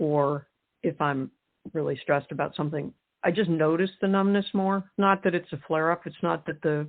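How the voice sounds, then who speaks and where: A woman with an American accent, at a moderate pace and with ordinary pitch variation. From US West, Wyoming. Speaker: author. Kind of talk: interview. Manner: halting.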